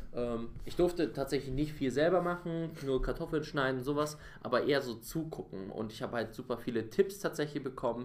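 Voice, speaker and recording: A man's unremarkable speaking voice, medium-pitched, with ordinary pitch variation and a fairly quick pace. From Bavaria. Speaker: podcast co-host. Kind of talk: casual chat.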